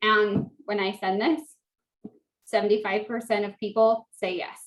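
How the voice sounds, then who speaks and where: A woman speaks at a fairly slow pace with fairly even intonation. Her pitch sits fairly high in an unremarkable speaking voice. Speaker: direct sales team leader. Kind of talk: tutorial.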